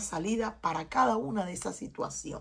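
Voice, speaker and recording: A woman talks at a moderate pace with a fairly high pitch. Her tone is bright and sharp, with vocal fry. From Cuba. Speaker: tarot reader. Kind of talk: tarot reading.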